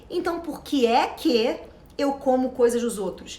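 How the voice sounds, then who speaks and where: In a room with audible echo, a woman speaks in a high, animated voice. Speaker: self-knowledge coach. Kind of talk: motivational talk. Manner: fast.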